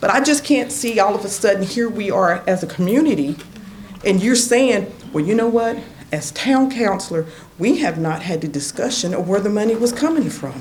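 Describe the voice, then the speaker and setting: Over noticeable background noise and audible room echo, a woman with an American accent speaks at a moderate pace in a medium pitch with very wide pitch swings. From southwest Virginia. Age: 60s. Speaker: resident speaking at public comment. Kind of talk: public comment at town council meeting. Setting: council chamber public meeting. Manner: animated.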